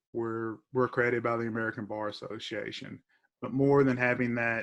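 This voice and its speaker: With an eastern Kentucky accent, a man speaks at a medium pitch in a bright, sharp tone, his intonation monotone and flat. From Clay County, eastern Kentucky. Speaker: professor and attorney. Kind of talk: interview. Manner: halting, many fillers.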